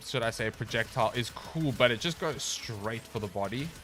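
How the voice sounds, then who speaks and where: Music plays in the background as a man talks. His pace is fairly slow and his pitch variation ordinary. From South Africa, Cape Town. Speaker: gaming streamer. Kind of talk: casual live-stream chat. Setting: home streaming setup. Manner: casual, filler-heavy.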